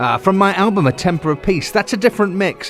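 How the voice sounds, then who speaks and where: A man with a southern English accent on a very clean recording with a silent background. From England, Hampshire. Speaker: songwriter and podcast host. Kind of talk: casual radio-style talk.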